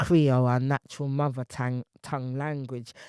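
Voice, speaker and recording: Recorded very cleanly against a silent background, a woman speaks in a very deep, low voice with a dry, close sound and no echo. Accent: British. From England. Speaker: poet and artist. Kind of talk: interview conversation.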